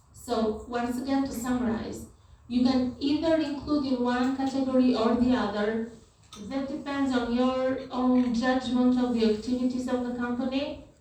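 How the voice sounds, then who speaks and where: The voice has a monotone, flat intonation and a moderate pace, heard with audible room echo and noticeable background noise. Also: woman, high pitch for a woman. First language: not English. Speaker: university lecturer. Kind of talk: lecture.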